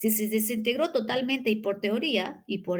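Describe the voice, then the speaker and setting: The woman's voice is fairly high and somewhat breathy, with ordinary pitch variation. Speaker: university lecturer. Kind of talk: lecture. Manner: fast.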